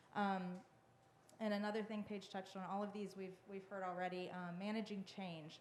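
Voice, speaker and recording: There is audible room echo around a woman speaking in a medium pitch. Her pace is moderate and her intonation monotone and flat. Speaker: historic preservation consultant. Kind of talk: public meeting presentation. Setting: town hall meeting. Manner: hesitant, many fillers.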